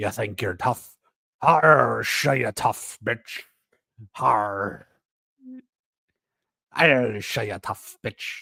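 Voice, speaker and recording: A raspy, put-on character voice with a low pitch, a very slow pace and long, frequent pauses. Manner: aggressive, tough-talking.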